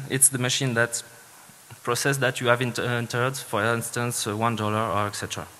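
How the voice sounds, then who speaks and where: A man keeps his intonation fairly even while noticeable background noise continues. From Switzerland (French-speaking). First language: French. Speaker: security engineer, conference speaker. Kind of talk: conference talk. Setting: stage with audience. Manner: hesitant, many fillers.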